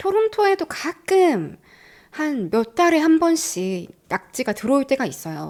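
Over a very clean recording with a silent background, a woman talks in an animated tone at a fairly slow pace with very wide pitch swings. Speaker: YouTuber living abroad. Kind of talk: casual chat. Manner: animated, laughs often.

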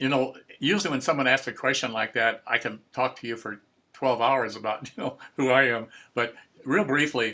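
Bright and sharp in tone, a man speaks at a fairly quick pace with ordinary pitch variation. The background is quiet. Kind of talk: interview answer. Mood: warm, nostalgic, chuckling. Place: workshop. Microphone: video call.

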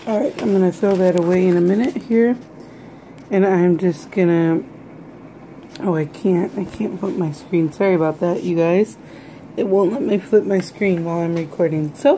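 A woman talks with ordinary pitch variation at a moderate pace, light background noise behind her. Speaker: vlogger. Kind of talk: casual vlog chat. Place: kitchen. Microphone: phone near.

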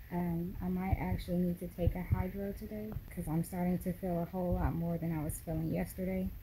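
The pace is fairly quick. Noticeable background noise can be heard. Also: woman. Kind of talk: casual vlog chat. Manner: tired, careful speech through sore jaw. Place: home room. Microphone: phone near.

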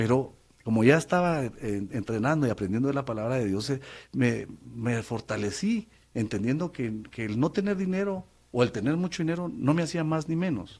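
Lively intonation from a man, delivered at a moderate pace. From Guatemala City. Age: 50s. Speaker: former public official; interview guest. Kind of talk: testimony. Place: studio. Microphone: studio mic.

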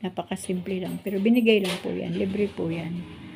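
Somewhat breathy, a woman with a dark, mellow tone at a fairly slow pace. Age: 60s. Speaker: vlogger. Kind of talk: casual vlog narration. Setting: outdoors.

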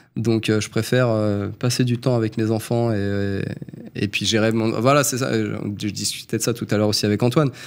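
Fairly quick, fairly even-toned speech from a man. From Île-de-France (Yvelines); Île-de-France. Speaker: plumber, former community manager; podcast guest. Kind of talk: interview testimony. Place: studio. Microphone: studio mic.

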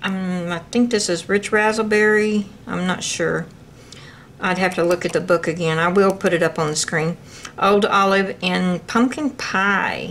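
Over light background noise, a woman speaks at a fairly slow pace with fairly even intonation. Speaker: crafter demonstrating a kit. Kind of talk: tutorial. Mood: relaxed, chatty.

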